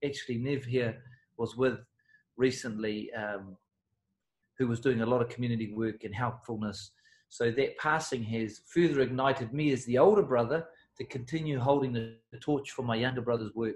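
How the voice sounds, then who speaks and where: Man's medium-pitched, somewhat breathy voice with a New Zealand accent, moderate pace and ordinary pitch variation. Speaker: personal development coach. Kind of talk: interview.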